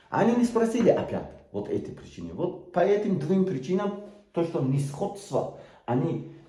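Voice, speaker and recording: A man with a Tajik accent at a fairly slow pace, amid audible room echo. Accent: Tajik-accented Russian. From Tajikistan, Sughd region. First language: Tajik (speaking Russian). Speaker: political activist. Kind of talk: video appeal. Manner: halting, many hesitations.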